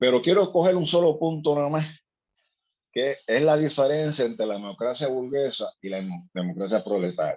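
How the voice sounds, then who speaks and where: A man's voice sits fairly high and moves at a moderate pace. It rises and falls over a very wide range. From Puerto Rico, Ponce. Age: 60s. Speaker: seminar participant. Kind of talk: seminar discussion. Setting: video call. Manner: halting, many repetitions.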